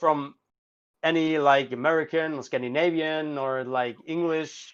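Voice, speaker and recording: A man speaks with a German accent against a quiet background. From Germany. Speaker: band vocalist. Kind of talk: casual chat. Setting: live stream.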